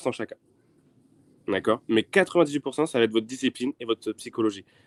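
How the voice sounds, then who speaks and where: A man talking at a very fast pace, medium in pitch, with ordinary pitch variation. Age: 20s. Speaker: trader. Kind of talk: interview.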